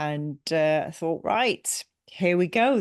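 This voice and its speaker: An English accent at a fairly slow pace over a quiet background. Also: woman. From England. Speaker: business coach and company CEO. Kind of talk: podcast interview. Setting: remote call.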